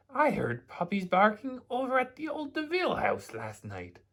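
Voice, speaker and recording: A man's put-on character voice at an extremely high pitch. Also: moderate pace. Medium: read story.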